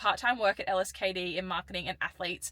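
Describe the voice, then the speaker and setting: In an Australian accent, the speaker delivers a bright, sharp tone at a very fast pace. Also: woman. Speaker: professional sprinter and vlogger. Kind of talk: vlog talking to camera.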